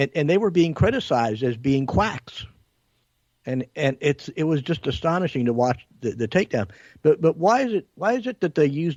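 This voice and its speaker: Moderate pace, with a dry, close sound, no echo and a quiet background. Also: man. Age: 60s. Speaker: talk show co-host. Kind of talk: political talk show discussion. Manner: halting, many repetitions.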